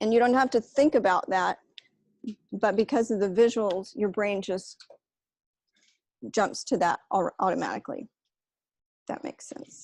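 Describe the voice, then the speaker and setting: Pausing long and often, a woman speaks at a moderate pace with ordinary pitch variation, in a dry, close sound with no echo and a very clean recording over a silent background. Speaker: analytics presenter. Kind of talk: lecture. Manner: frequent filler words.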